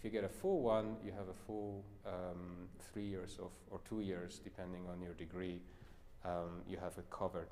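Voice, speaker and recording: A man with a very deep, low pitch and a dark, mellow tone speaks at a moderate pace. Audible room echo surrounds his voice. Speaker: pianist and piano professor. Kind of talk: masterclass closing chat.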